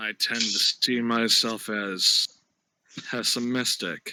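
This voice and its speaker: A man does a put-on character voice at medium pitch with monotone, flat intonation. He goes at a fairly slow pace, and the sound is dry and close with no echo. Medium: audio drama. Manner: curt, withholding.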